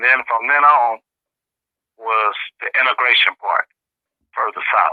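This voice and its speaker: Long, frequent pauses break up a man's speech at a fairly slow pace. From US Midwest, Kansas City, Missouri. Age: 60s. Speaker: Cold War veterans advocate. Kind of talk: interview.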